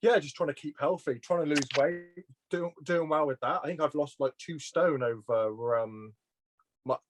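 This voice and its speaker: With a dry, close sound and no echo, a man speaks at a moderate pace in a fairly high pitch with ordinary pitch variation. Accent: slight Welsh. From Shropshire, England (Shrewsbury). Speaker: petrol station worker. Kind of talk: casual interview. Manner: halting, with fillers and repeats.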